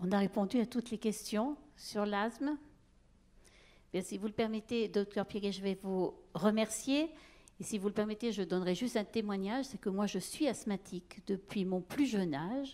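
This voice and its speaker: Medium pitch from a woman, dark and mellow in tone, with ordinary pitch variation at a moderate pace, on a very clean recording with a silent background. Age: 60s. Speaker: event moderator. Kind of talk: conference Q&A moderation.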